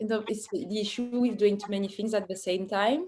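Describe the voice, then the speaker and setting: A woman with a strong French accent speaks at a medium pitch in a monotone, flat delivery. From France, Paris suburbs. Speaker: artist. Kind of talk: Q&A talk about own work. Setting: virtual online event. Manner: halting, many fillers.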